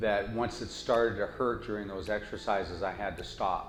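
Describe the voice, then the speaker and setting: Music plays behind a man speaking. His voice carries an audible room echo. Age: 60s. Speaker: patient giving a testimonial. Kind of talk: testimony.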